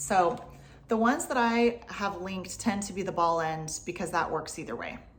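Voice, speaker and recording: Her voice is somewhat breathy, a woman's medium pitch with ordinary pitch variation. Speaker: violin teacher. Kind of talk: tutorial. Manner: soft-spoken.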